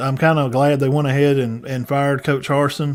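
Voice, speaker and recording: A man with a Southern US accent, a fairly high pitch, a fairly quick pace and monotone, flat intonation. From US South, northeast Alabama. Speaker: sports podcast host. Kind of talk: casual chat. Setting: live stream.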